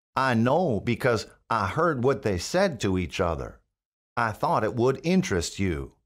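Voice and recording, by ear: With quiet all around, the text is read aloud in a natural voice.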